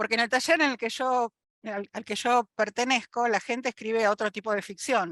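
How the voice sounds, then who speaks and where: Heard in a dry, close sound with no echo, a woman with an ordinary speaking voice talks at a fairly high pitch, a moderate pace and fairly even intonation. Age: 60s. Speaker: retired biologist, audience participant. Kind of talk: audience question in online talk.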